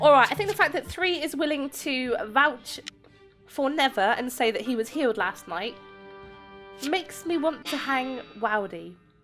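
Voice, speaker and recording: A woman with a high-pitched voice speaks at a moderate pace with lively intonation and long, frequent pauses, with music playing in the background. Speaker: gaming YouTuber. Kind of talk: gameplay commentary.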